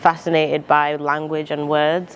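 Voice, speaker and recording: A woman's very deep, low voice comes through noticeable background noise. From Zimbabwe, now Manchester. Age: 20s. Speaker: rapper and poet. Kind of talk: interview monologue. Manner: hesitant with fillers.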